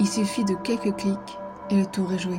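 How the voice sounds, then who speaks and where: A woman's medium-pitched voice at a fairly slow pace, with music in the background. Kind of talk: horror story narration.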